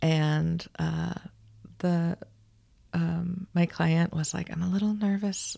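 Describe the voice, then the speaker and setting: Her voice somewhat breathy and fairly low, a woman speaks very slowly in a monotone, flat intonation with long, frequent pauses. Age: 40s. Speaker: midwife. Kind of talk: casual chat.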